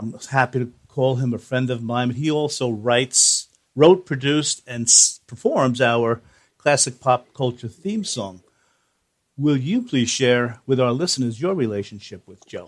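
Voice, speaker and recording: On a very clean recording with a silent background, a man with a New Jersey accent speaks at a medium pitch and a fairly slow pace, with big swings in loudness. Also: ordinary pitch variation. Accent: American (New Jersey). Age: 60s. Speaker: podcast host. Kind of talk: interview.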